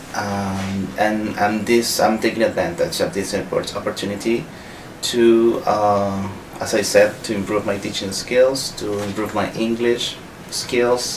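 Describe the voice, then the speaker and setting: The speaker talks at a fairly slow pace with a Spanish accent and a monotone, flat intonation. There is noticeable background noise and audible room echo. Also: man, fairly low pitch for a man. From Venezuela. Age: 30s. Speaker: visiting English professor, scholarship holder. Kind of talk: interview. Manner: halting, with frequent fillers and restarts.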